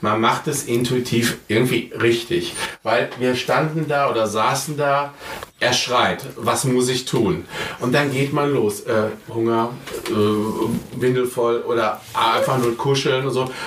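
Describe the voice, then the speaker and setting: A man speaks very slowly with fairly even intonation and very even loudness, amid audible room echo and noticeable background noise. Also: medium pitch for a man. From Ruhr area, Germany. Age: 50s. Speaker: father via surrogacy. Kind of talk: interview. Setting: at home.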